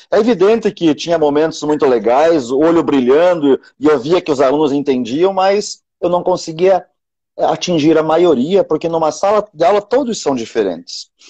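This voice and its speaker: The voice has lively intonation at a moderate pace, with very even loudness throughout. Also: man, fairly high pitch for a man. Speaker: teacher. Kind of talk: casual chat. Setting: live video stream.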